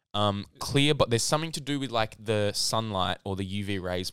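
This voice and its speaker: Fairly low male voice in an Australian accent, on a very clean recording with a silent background. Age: young. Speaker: podcast co-host. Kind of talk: casual chat.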